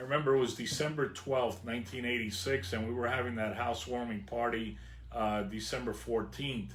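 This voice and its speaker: In a New Jersey accent, a man speaks at a fairly quick pace and medium pitch with fairly even intonation and audible room echo. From northern New Jersey, Hudson County. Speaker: vlogger. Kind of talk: personal storytelling.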